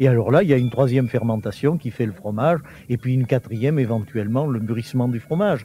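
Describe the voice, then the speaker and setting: A man talks at a very fast pace in a somewhat breathy, dark, mellow tone at medium pitch. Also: ordinary pitch variation. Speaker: teacher and historian. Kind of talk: interview answer. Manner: explanatory, hesitant with fillers.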